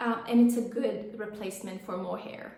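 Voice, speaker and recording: A woman with an Italian accent and a fairly high pitch is heard with audible room echo and noticeable background noise. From Italy. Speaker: knitting podcaster. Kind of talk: casual vlog chat. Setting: home office. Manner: slow; hesitant, many fillers.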